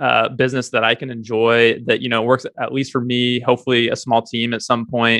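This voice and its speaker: Fairly quick speech in a dry sound with no echo against a quiet background. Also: man. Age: 20s. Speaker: startup founder. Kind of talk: interview. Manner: hesitant with many fillers. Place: home room. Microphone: studio mic.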